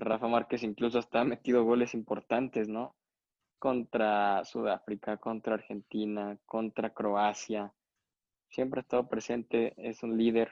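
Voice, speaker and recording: Flat and monotone, a man speaks at a medium pitch and a fairly slow pace. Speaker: sports podcast co-host. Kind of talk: casual chat.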